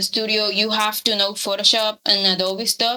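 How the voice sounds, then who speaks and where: With a Spanish accent, a woman speaks at a moderate pace in a fairly high pitch and fairly even intonation. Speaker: character artist. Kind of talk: casual interview. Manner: halting, repeats words.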